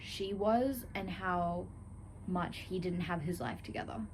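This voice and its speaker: A woman speaks at medium pitch with ordinary pitch variation. Her voice is somewhat breathy. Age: 20s. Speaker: book vlogger. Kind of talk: casual vlog talk to camera.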